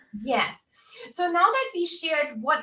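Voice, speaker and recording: A woman speaks in a raised, projected voice, bright and sharp in tone, with lively intonation. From Germany. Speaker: career coach. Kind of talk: live webinar chat. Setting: video livestream. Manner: animated.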